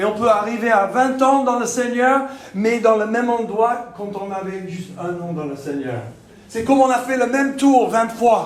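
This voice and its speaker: A man with a Texan accent speaks at a fairly slow pace in an extremely high pitch, his loudness swinging widely, with ordinary pitch variation and audible room echo. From Texas. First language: English (speaking French). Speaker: pastor. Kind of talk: sermon. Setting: church. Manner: halting.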